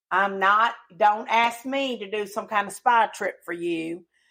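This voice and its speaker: Speaking very slowly in a Southern accent, a woman keeps a medium pitch with ordinary pitch variation. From rural Tennessee. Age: 40s. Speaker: podcast co-host. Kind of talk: casual chat. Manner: loud.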